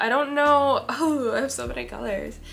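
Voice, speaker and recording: A woman speaks quietly. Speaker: beauty vlogger. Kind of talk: makeup tutorial chat.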